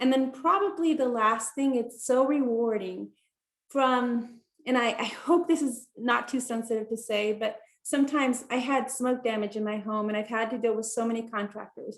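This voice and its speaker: A woman with a Spanish accent and a high pitch speaks at a moderate pace with ordinary pitch variation. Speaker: attorney, law school alum. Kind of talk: panel talk.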